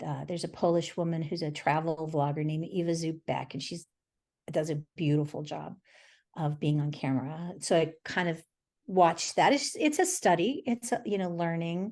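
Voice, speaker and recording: Over a quiet background, a woman speaks at a fairly low pitch. Her pace is moderate and her pitch variation ordinary. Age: 60s. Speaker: painter. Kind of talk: casual chat. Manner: halting.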